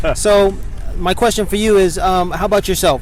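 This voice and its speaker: Amid noticeable background noise and audible room echo, a man talks at a fairly quick pace with fairly even intonation. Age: young. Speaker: interviewer, video channel host. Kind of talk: casual interview. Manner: halting.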